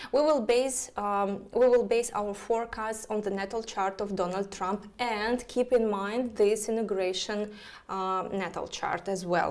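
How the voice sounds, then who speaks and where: A woman's fairly high voice at a fairly slow pace, with fairly even intonation and hardly any pauses. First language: Russian. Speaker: astrologer. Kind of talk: live stream chat. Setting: live online broadcast. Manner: halting, many fillers.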